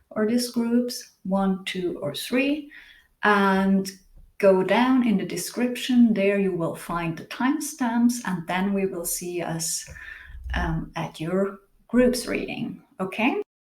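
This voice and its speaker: At a very slow pace, a woman talks in a somewhat breathy voice, her intonation lively. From Switzerland. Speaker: tarot reader and singer. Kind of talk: tarot reading. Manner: halting, searching for words.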